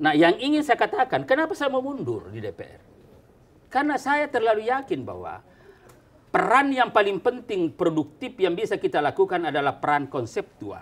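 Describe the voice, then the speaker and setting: A man talks at a moderate pace in a high pitch, with very wide pitch swings. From South Sulawesi, Indonesia. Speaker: politician. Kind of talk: talk show interview. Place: office. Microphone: lapel.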